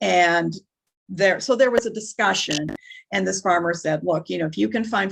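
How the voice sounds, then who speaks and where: Spoken at a moderate pace with a Minnesotan accent, the voice has lively intonation and vocal fry. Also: woman. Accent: Minnesota. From northern Minnesota. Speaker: nonprofit worker. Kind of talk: interview.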